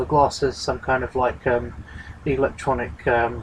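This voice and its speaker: A man's voice against noticeable background noise. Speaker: video blogger discussing sci-fi movie. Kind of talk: casual monologue. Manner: fast; hesitant, many fillers.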